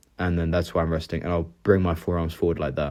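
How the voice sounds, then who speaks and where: Against a quiet background, a man speaks at a very deep, low pitch. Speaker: fitness content creator. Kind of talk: casual vlog narration.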